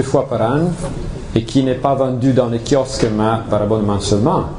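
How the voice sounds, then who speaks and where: A man with an Italian accent talks at a fairly slow pace and medium pitch, his intonation fairly even. Noticeable background noise and audible room echo fill the recording. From Italy, Turin. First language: Italian (speaking French). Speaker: ufologist, association representative. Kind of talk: conference talk. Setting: evening event with audience. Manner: halting, frequent hesitations.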